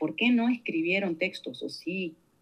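The woman talks fairly slowly, her pitch varying in an ordinary way. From Argentina, Santa Fe province. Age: 50s. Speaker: researcher and academic. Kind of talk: interview.

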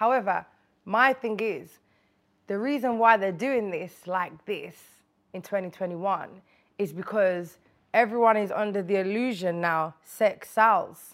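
In a Birmingham accent, a woman speaks fairly slowly at a medium pitch with ordinary pitch variation. The recording is very clean, with a silent background. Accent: Birmingham (Brummie) English. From Birmingham, England. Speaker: rapper. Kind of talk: casual interview chat.

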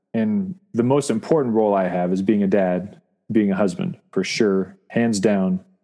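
In a quiet background, a man with an American accent speaks at a moderate pace with a fairly low pitch, ordinary pitch variation and a dark, mellow tone. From Saudi Arabia (American expat). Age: 40s. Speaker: sailor and musician. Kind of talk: casual chat.

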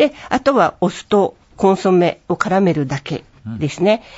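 A woman is talking here. Her pitch rises and falls across a very wide range. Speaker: cookbook author. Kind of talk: casual chat.

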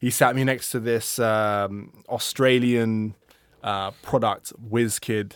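A man with a London accent, very slow pace and monotone, flat intonation on a very clean recording with a silent background. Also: medium pitch for a man. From London, England. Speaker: music industry product manager. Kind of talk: casual interview chat. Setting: studio.

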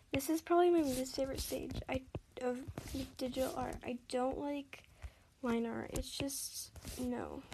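A soft-spoken woman's high voice, fairly slow and fairly even in intonation, with long, frequent pauses. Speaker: podcast host doing art tutorials. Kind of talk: casual drawing walkthrough. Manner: soft-spoken, quiet; casual with fillers and hesitations.

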